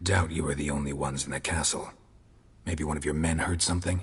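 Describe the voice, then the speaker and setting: At a very fast pace, a man delivers a put-on character voice at a very deep, low pitch. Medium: video game. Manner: terse, clipped, flat.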